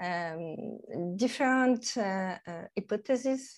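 With a French accent, a woman speaks at medium pitch with ordinary pitch variation. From France, Normandy. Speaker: nutrition coach. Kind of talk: interview. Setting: remote call. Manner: halting.

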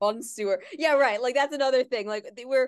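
With a New York accent, a woman talks at a moderate pace in a high voice with ordinary pitch variation, the sound dry and close with no echo against a quiet background. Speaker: podcast host. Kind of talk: casual chat.

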